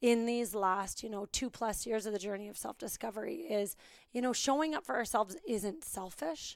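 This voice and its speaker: Her intonation lively and her tone animated, a woman comes through on a very clean recording with a silent background. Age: 30s. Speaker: fitness business owner. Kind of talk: interview.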